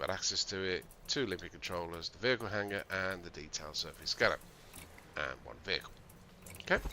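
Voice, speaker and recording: A man with a very deep, low pitch and an English accent speaks at a fairly quick pace in a bright, sharp tone. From England. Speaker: video game streamer. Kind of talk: gameplay tutorial livestream. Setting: live stream. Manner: casual, hesitant with fillers.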